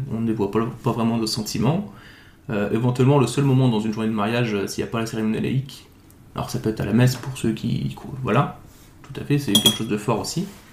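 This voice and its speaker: At a very fast pace, a man speaks with a medium pitch and lively intonation. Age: 30s. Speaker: nurse, groom. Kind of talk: casual interview. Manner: hesitant, many fillers.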